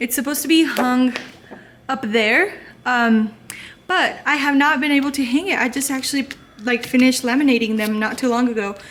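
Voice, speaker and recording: Over noticeable background noise, a woman with a Spanish accent speaks at a moderate pace in a high pitch with ordinary pitch variation. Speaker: elementary school teacher. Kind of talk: casual vlog tour. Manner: casual, lots of fillers.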